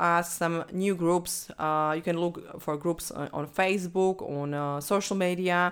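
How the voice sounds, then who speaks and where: With a non-native accent, a woman speaks at a fairly slow pace and fairly low pitch, her intonation fairly even on a very clean recording with a silent background. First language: not English. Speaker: podcast host and business coach. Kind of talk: solo podcast monologue about business marketing. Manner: halting, with fillers and restarts; stressed about speaking in second language.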